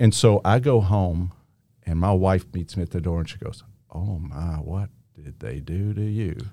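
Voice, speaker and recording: Very deep and low in pitch, a man's voice carries a dark, mellow tone with ordinary pitch variation and big swings in loudness. He speaks at a moderate pace in a very clean recording with a silent background. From Kentucky, US. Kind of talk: faith-based conversation.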